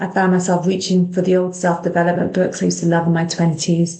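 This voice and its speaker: Fairly low pitch from a woman, with a dark, mellow tone and monotone, flat intonation. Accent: British. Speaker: clinical hypnotherapist. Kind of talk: personal story, podcast monologue. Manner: compassionate, gentle.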